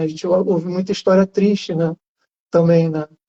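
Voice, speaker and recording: Talking very fast in a Rio de Janeiro accent, a man speaks with monotone, flat intonation. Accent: carioca. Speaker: journalist with Parkinson's. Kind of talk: casual live interview. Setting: Instagram live.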